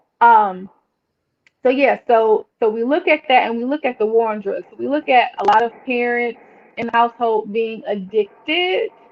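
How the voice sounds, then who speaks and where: Using an ordinary speaking voice, a woman talks at a moderate pace and a fairly high pitch, with ordinary pitch variation. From Washington DC, Northwest. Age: 40s. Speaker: licensed therapist. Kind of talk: casual chat.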